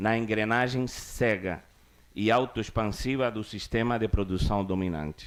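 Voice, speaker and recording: Fairly slow talking from a man, with ordinary pitch variation. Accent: Cuban. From Cuba (Havana). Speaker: cultural producer. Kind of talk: formal conference speech. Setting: conference stage with audience. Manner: formal.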